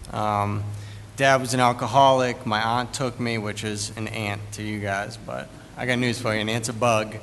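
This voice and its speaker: There is audible room echo around a man with an American accent. His intonation is monotone and flat. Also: medium pitch for a man, moderate pace. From US Northeast, Boston. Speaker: recovering addict speaker. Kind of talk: testimony.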